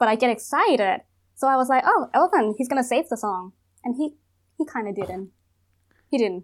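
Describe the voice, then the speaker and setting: In a Thai accent, a woman speaks at a moderate pace in a fairly high voice with lively intonation, leaving long, frequent pauses. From Thailand. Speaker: psychologist guest. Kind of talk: casual chat.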